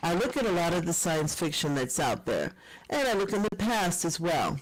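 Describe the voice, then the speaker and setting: A woman with an unremarkable speaking voice and a fairly low pitch at a moderate pace. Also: lively intonation, very even loudness. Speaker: professor and keynote speaker. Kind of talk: conference keynote talk.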